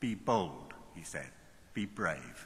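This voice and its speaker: There is audible room echo around a man's bright, sharp voice. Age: 70s. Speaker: university chancellor. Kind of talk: commencement speech. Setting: large hall with audience. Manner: animated.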